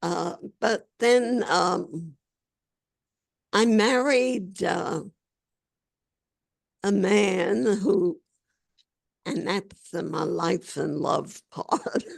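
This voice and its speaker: Very slow delivery with long, frequent pauses, lively intonation and vocal fry. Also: woman, medium pitch for a woman. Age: 80s+. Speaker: labor organizer. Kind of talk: interview answer.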